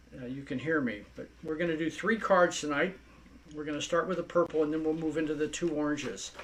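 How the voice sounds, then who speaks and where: With noticeable background noise behind him, a man with a fairly high pitch and ordinary pitch variation talks at a very fast pace. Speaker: craft product instructor. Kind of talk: tutorial.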